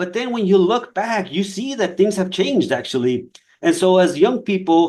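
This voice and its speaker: A man speaks at a moderate pace with a Spanish accent. His pitch is high, and his intonation is lively. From Nogales, Mexico/Arizona border. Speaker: fire scientist. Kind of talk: career talk on a webinar. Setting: online webinar. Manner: halting, many repetitions and fillers.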